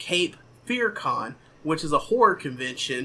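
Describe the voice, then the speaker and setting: Speaking fairly slowly, a man with a Southern US accent has a bright, sharp tone. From southern Missouri. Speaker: podcast host. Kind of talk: casual chat.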